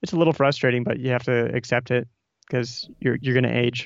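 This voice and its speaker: A man speaks at a fairly quick pace in a medium pitch, his intonation fairly even. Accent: Midwestern American. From Nebraska. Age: 30s. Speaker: author and podcaster. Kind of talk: casual interview chat. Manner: halting, many repetitions.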